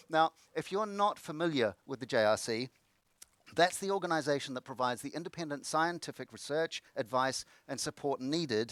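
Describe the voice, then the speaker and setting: At a fairly quick pace, a man with a New Zealand accent talks in a fairly high pitch, the sound dry and close with no echo. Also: lively intonation. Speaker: conference moderator, former research professor. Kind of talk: event hosting. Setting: online conference broadcast.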